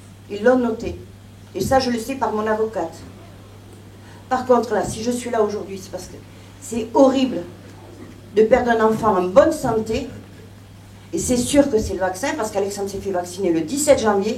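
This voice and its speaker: A woman speaks at a moderate pace and fairly high pitch with ordinary pitch variation. Her loudness swings widely, with long, frequent pauses and audible room echo. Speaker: bereaved mother giving testimony. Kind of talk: testimony. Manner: emotional, trembling.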